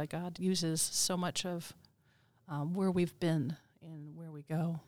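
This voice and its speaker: Fairly low-pitched woman in an American accent, with ordinary pitch variation and a very clean recording over a silent background. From Minnesota, US Midwest. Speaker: New Testament professor. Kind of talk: interview. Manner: frequent fillers (um, uh).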